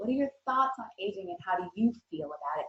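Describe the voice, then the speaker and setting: The woman speaking keeps a fairly quick pace. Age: 40s. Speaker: talk show host. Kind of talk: panel discussion.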